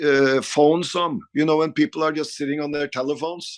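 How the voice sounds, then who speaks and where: Speaking at a moderate pace, a man with a Norwegian accent has a fairly high pitch. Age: 50s. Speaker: rock guitarist. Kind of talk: interview. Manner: halting.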